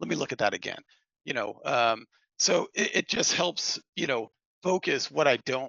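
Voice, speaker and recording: A fairly high-pitched man's voice with vocal fry and lively intonation. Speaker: financial planning exam candidate sharing study tips. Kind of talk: casual chat. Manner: fast when excited.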